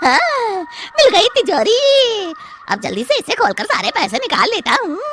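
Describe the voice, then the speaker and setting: An extremely high-pitched, cartoonish character voice is heard. Clear background noise runs underneath. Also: moderate pace. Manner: brash, rustic.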